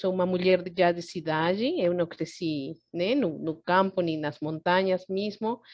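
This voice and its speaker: Fairly slow speech from a woman at a medium pitch. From Peru, Andean city. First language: Spanish (speaking Portuguese). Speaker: psychotherapist, lecturer on Andean culture. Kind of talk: online lecture. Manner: halting, with fillers and restarts.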